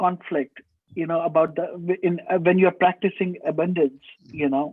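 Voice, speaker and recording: A man speaks with a high pitch. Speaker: course participant. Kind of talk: question in online class.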